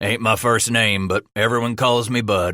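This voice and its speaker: In a raspy, put-on character voice, a man speaks at a moderate pace and medium pitch with monotone, flat intonation. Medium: read story. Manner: blunt, terse.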